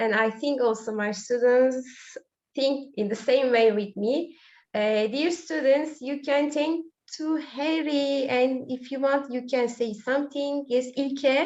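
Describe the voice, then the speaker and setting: The speaker talks in a Turkish accent at a very slow pace. Pitch variation is ordinary. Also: woman, high pitch for a woman. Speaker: school teacher. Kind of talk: online webinar chat. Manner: hesitant, many fillers.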